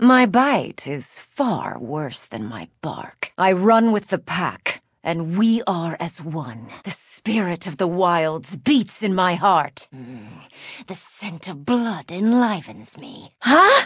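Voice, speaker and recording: The speaker uses a put-on character voice at a middle pitch. Delivery is at a very slow pace. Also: very clean recording, silent background. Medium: video game voice lines. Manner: fierce, commanding.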